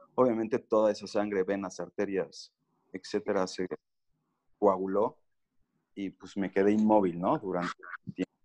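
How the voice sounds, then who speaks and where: This man talks at a moderate pace in a fairly low voice, with fairly even intonation, long, frequent pauses and a dry, close sound with no echo. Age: 30s. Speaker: cancer survivor sharing his recovery story. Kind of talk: podcast interview.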